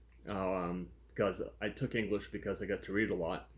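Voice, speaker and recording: Very slow and marked by vocal fry, a man with an American accent speaks on a very clean recording with a silent background. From Massachusetts (Fall River area, southeastern). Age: 60s. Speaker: book reviewer, hotel worker. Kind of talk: casual chat. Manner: off the cuff, filler-heavy.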